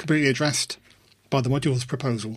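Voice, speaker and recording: Somewhat breathy, a man with a fairly high pitch talks in fairly even intonation. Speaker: podcast host. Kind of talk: casual podcast chat.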